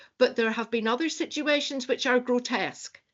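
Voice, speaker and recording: A woman speaks in a high pitch with a Northern Irish accent. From Northern Ireland. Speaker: university staff member asking questions. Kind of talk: academic roundtable discussion. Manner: halting, many repetitions.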